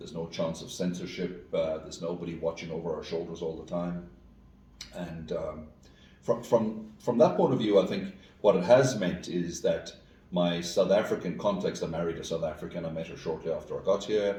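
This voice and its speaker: With noticeable background noise and audible room echo, a man speaks at a moderate pace, his loudness swinging widely. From rural west of Ireland. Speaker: school executive and educator. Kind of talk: interview conversation. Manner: hesitant, many fillers and repeats.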